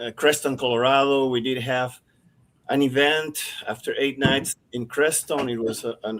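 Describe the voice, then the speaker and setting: A man talks at a medium pitch and a moderate pace. His intonation is fairly even. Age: 60s. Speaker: UFO disclosure panelist. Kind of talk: live panel discussion. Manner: halting.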